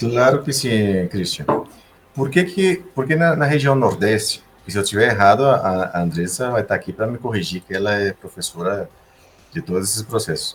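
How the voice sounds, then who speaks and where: Male speech at medium pitch, swinging very widely in pitch. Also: moderate pace. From Brazil, Recife (Northeast), gaúcho father, Sergipe mother. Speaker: engineer. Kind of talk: podcast interview.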